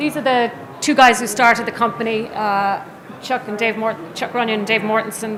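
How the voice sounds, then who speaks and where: Audible room echo and noticeable background noise surround a woman's voice. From Ireland. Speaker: business executive, conference speaker. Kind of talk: conference presentation. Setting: trade show stage with audience.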